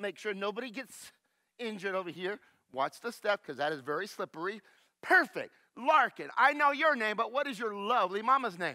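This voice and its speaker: Raising and projecting his high-pitched voice, a man speaks at a fairly quick pace with a bright, sharp, animated tone and very wide pitch swings, on a very clean recording with a silent background. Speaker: science show presenter. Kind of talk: children's science demonstration. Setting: church sanctuary.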